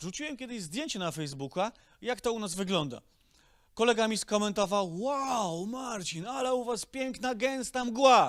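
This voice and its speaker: On a very clean recording with a silent background, a man speaks in an animated tone at an extremely high pitch. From Silesia, Poland. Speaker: stand-up comedian. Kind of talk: stand-up comedy routine with roast of polluters. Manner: sarcastic, swearing, animated.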